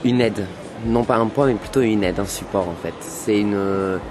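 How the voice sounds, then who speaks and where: With noticeable background noise behind him, a man talks at a moderate pace in a fairly low voice with fairly even intonation. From France, Rouen suburbs, Algerian family. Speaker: youth interviewee. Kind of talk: documentary interview. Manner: hesitant, many fillers.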